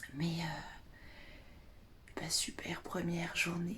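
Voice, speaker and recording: The woman delivers her words in a whisper. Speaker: naturopath and essential oils advisor vlogger. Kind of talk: casual vlog. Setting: bedroom at a friend's house, morning. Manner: whispering.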